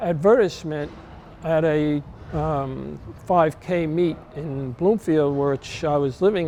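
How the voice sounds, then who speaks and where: A man with a New Jersey accent, fairly high pitch and ordinary pitch variation. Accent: New Jersey American. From US Northeast, New Jersey. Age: 70s. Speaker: masters sprinter. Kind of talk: interview testimony. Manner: halting, many fillers.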